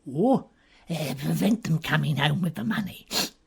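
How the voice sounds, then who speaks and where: A put-on character voice comes through at a middle pitch. It moves along at a moderate pace. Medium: audio drama. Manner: nervous, hesitant.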